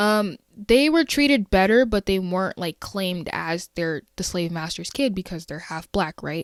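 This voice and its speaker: A woman speaks at a moderate pace in an American accent, with a plain, everyday voice. The recording is very clean, with a silent background and a dry, close sound with no echo. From USA. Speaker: podcast host. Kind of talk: solo podcast commentary. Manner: casual, conversational.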